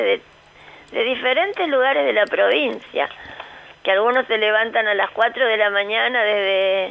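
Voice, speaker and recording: Noticeable background noise runs under a woman's voice. She speaks at a fairly slow pace with very even loudness. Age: 60s. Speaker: foundation director. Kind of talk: radio interview.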